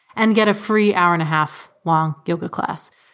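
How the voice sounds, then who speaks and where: On a very clean recording with a silent background, a woman speaks in an American accent at a medium pitch. She has an unremarkable speaking voice with ordinary pitch variation. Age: 30s. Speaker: personal finance blogger and homesteader. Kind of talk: interview.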